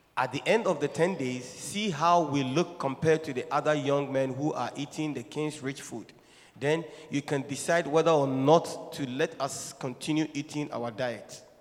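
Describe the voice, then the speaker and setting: Over noticeable background noise, a man with a fairly high pitch speaks at a moderate pace with fairly even intonation. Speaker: scripture reader. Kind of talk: reading aloud. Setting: church.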